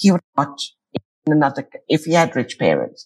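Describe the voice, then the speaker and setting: Her voice somewhat breathy, a woman talks at a moderate pace. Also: very clean recording, silent background. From Cyprus. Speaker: peacebuilder and podcaster. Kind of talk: interview conversation.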